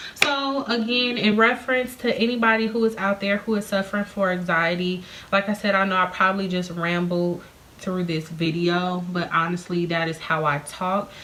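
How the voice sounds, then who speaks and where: A woman with a medium pitch and ordinary pitch variation talks at a moderate pace against noticeable background noise. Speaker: beauty vlogger and hair seller. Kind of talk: casual vlog talk to camera. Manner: rambling, jumping topics.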